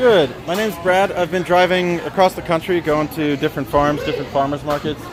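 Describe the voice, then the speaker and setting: Speaking in an American accent at a fairly quick pace with hardly any pauses, the voice comes through noticeable background noise. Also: man, high pitch for a man, ordinary pitch variation. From Central Pennsylvania. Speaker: traveling journalist. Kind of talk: casual on-the-street interview. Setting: outdoor farmers market, livestream. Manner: casual with many filler words.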